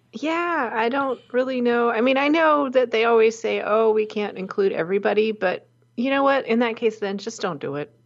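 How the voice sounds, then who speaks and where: An ordinary speaking voice with lively intonation at a moderate pace. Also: woman, fairly high pitch for a woman. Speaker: podcast co-host. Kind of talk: casual chat. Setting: remote call between hosts.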